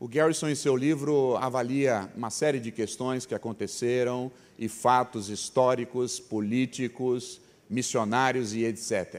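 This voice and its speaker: A man with a plain, everyday voice talks at a medium pitch and a fairly slow pace. His intonation is fairly even, on a very clean recording with a silent background. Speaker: preacher, mission organization president. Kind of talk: sermon.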